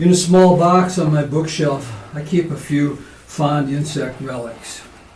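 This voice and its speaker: Speaking at a fairly slow pace, a man has a fairly high pitch and fairly even intonation. Noticeable background noise and audible room echo fill the recording. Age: 70s. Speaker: poet. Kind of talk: poetry reading; casual spoken introduction. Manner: halting with fillers.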